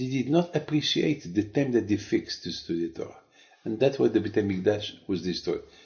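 The man's voice carries a somewhat breathy quality. He talks fairly quickly. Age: 70s. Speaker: rabbi. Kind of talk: sermon. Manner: halting.

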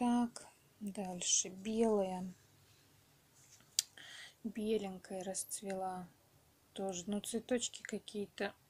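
A woman's medium-pitched, somewhat breathy voice, monotone and flat, at a very slow pace with long, frequent pauses. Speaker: home gardener. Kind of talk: casual talk to camera.

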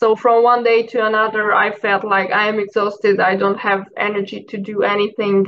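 A woman's monotone, flat delivery with hardly any pauses, over light background noise. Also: moderate pace. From Hungary. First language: Hungarian. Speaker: mental health advocate; podcast guest. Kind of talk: personal testimony in interview. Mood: reflective, personal story. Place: home room. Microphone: video call.

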